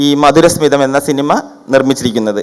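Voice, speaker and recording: Pitched fairly high, a man talks in an ordinary speaking voice with fairly even intonation. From Kerala, Trivandrum. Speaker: film director and Sanskrit teacher. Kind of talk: formal speech.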